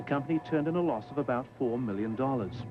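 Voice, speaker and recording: A man at medium pitch speaks at a fairly quick pace with lively intonation while music plays in the background. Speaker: television reporter narrating a documentary segment. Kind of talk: TV news report voiceover and interviewer.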